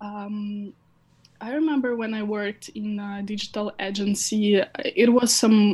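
Speaking at a very slow pace, a woman uses a medium pitch with ordinary pitch variation. Her voice is somewhat breathy. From Ukraine. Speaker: head of social media at a crypto hardware company. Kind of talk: interview.

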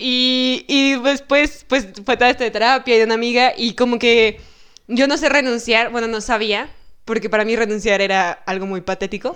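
At a moderate pace, a woman speaks in a high pitch with ordinary pitch variation against a quiet background. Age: 20s. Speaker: psychology student. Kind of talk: casual chat.

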